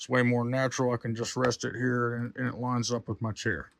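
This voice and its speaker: Loud and at a fairly quick pace, a man speaks in a medium-pitched voice with a dry, close sound with no echo. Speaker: gaming streamer. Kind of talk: hardware tour. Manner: casual, halting with fillers.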